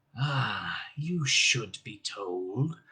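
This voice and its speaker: A man puts on a growling character voice at a medium pitch. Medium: read story. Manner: growling, menacing.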